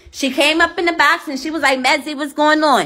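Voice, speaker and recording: A woman speaks at a fairly quick pace in a raised, projected voice, with faint music in the background. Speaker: live streamer. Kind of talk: casual live stream chat, telling a story to viewers. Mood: indignant, upset. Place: home room. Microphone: phone near.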